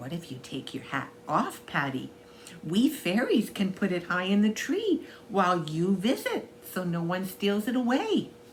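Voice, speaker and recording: Over clear background noise, a woman does a put-on character voice at medium pitch and a moderate pace. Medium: read story. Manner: shy, soft.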